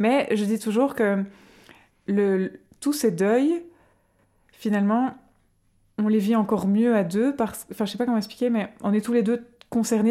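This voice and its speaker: A woman at a fairly high pitch speaks with a dark, mellow tone. Her pace is moderate and her intonation fairly even. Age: 30s. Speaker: mother sharing pregnancy loss story. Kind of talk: testimony. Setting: at guest's home.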